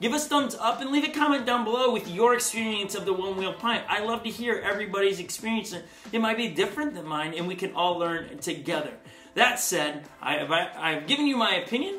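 A man's raised, projected voice moves at a fairly quick pace. Audible room echo and faint music sit in the background. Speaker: product reviewer. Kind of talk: casual review talk to camera. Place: home room.

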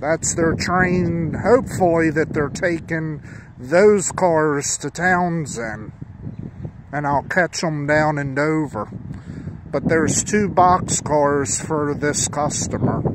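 Speech comes at a very slow pace. There is noticeable background noise, and the sound is dry with no echo. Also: man, ordinary pitch variation. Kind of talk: casual commentary. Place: open country. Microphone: phone near.

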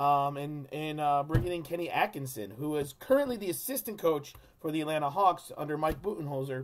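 Lively intonation marks this man's speech. He keeps a moderate pace. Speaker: sports fan vlogger. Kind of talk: casual vlog chat. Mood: frank, somewhat critical. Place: home room. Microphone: webcam.

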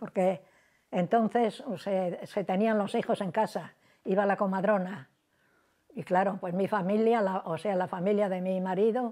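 In a quiet background, a dark, mellow voice speaks at a fairly slow pace with fairly even intonation. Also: woman, medium pitch for a woman. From Cantabria, Spain. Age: 90s. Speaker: elderly interviewee; interviewee. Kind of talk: oral history interview; interview answer. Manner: halting. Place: home room. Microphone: lapel.

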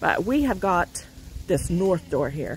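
Fairly slow speech, dry sound with no echo, light background noise. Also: woman. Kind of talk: casual vlog chat. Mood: calm, informative. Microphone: phone near.

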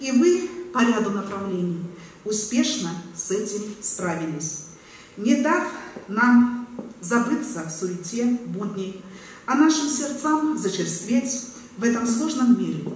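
A woman's very slow voice with very wide pitch swings, long, frequent pauses and audible room echo. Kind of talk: formal ceremonial speech. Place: hall.

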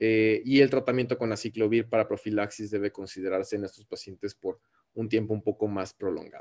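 Here a man speaks with a Mexican accent at a moderate pace. His pitch varies normally against a quiet background. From Mexico. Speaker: ophthalmologist. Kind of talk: lecture. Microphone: webcam.

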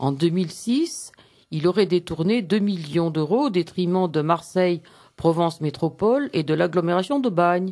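The speaker talks at a fairly slow pace. The background is quiet. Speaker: radio newsreader. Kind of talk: news bulletin reading. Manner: measured, formal, crisp newsreader delivery. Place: studio.

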